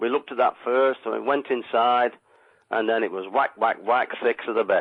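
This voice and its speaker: A man talks at a medium pitch. His pace is moderate. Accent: Lancashire. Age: 60s. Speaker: caller, ex-miner. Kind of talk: radio phone-in. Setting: phone call. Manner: halting.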